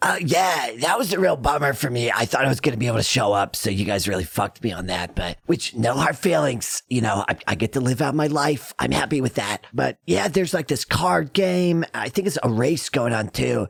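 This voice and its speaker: A man puts on a raspy character voice at a medium pitch, with very wide pitch swings. He talks at a fairly quick pace with hardly any pauses. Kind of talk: slacker slang. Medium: actual play. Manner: rambling, slangy, laid-back, full of fillers.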